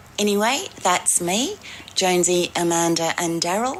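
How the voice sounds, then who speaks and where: Against noticeable background noise, a woman with an Australian accent speaks at a very slow pace, her pitch fairly low with ordinary variation. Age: 60s. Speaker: dating contestant. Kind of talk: recorded self-introduction.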